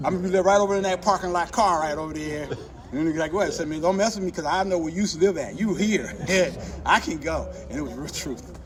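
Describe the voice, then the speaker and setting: Noticeable background noise surrounds a man talking at a very fast pace. His pitch is high, with ordinary variation. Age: 60s. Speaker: street dancer and dance battle judge. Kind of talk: casual interview chat. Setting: after a dance event, other conversations nearby. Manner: animated, acts out dialogue.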